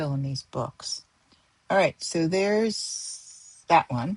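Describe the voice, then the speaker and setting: A woman is soft-spoken. Her intonation is lively. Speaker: stationery and ink hobbyist vlogger. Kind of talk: casual tutorial demo. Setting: home studio. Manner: hesitant, thinking aloud.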